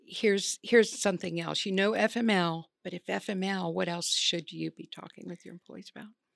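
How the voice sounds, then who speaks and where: A woman with a normal speaking voice and fairly even intonation, at a fairly quick pace, with big swings in loudness and a dry, close sound with no echo. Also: medium pitch for a woman. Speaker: podcast co-host. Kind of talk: interview, conversational.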